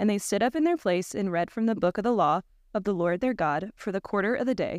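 In an ordinary speaking voice, a woman talks at a fairly quick pace with lively intonation and medium pitch, recorded in a dry, close sound with no echo against a quiet background. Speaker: scripture reader. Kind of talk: reading aloud. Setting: church.

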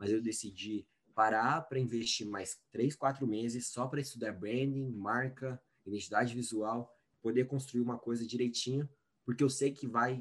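A man talks at a moderate pace in a medium pitch with fairly even intonation. It is an unremarkable speaking voice. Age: 20s. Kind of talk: interview.

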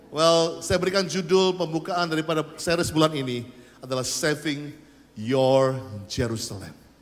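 This man speaks at a moderate pace in a fairly high pitch, with ordinary pitch variation and audible room echo. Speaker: pastor. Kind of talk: sermon. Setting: church. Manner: animated.

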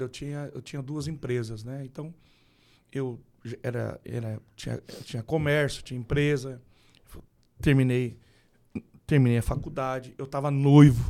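A man with a somewhat high voice speaks at an average speed, captured very cleanly with complete silence behind him. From Brazil, Rondônia and Mato Grosso do Sul. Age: 40s. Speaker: pastor. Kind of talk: casual chat.

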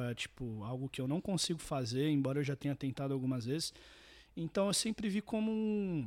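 A man with a plain, everyday voice speaks at a moderate pace and fairly high pitch with lively intonation, the sound dry and close with no echo in a very clean recording over a silent background. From Santos, São Paulo coast, Brazil. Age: 20s. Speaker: singer-songwriter and guitarist. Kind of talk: casual interview.

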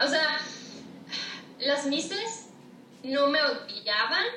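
Raising and projecting her voice, a woman speaks at a high pitch. Audible room echo and noticeable background noise are present. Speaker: author and TikTok creator. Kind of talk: casual chat. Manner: loud.

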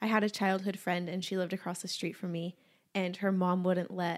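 A woman with a normal speaking voice, medium pitch and moderate pace. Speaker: podcast co-host. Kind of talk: casual chat.

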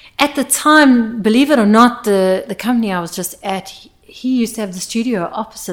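A woman speaks at a fairly quick pace with lively intonation. It is an ordinary speaking voice. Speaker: sound engineer. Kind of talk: casual podcast interview. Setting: studio.

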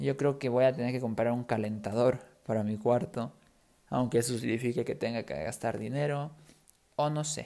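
Dark, mellow tone from a man at medium pitch, with ordinary pitch variation. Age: 20s. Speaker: podcast host, Spanish teacher. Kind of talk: casual monologue for language learners. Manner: clear, unhurried.

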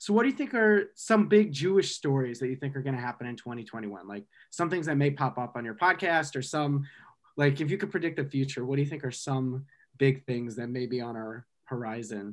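A man talks at a fairly quick pace with lively intonation. The recording is very clean, with a silent background. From Michigan, US Midwest. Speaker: student podcast host. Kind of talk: casual chat.

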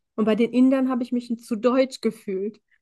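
A woman's unremarkable speaking voice, fairly even in intonation, at a moderate pace. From Germany, Indian family. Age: 20s. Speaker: empowerment coach and social worker. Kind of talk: casual interview chat.

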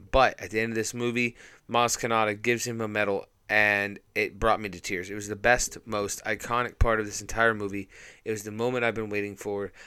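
At a fairly quick pace, the voice has a bright, sharp tone, monotone, flat intonation and big swings in loudness, on a very clean recording with a silent background. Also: man. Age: 30s. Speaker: podcast host, movie reviewer. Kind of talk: solo review monologue.

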